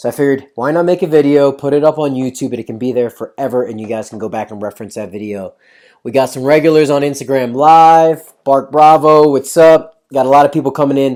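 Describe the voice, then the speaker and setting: This man talks at a very fast pace in a fairly high pitch, with an energetic tone and ordinary pitch variation. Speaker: fitness coach. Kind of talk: live Q&A stream. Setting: Instagram live stream, also filmed. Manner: casual, energetic.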